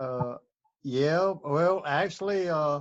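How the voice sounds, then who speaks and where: A man speaks with an Alabama accent at a very slow pace. His pitch is fairly high. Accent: Alabama Southern US. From US South, Birmingham, Alabama. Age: 70s. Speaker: interviewee sharing life history. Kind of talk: interview. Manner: halting, many fillers.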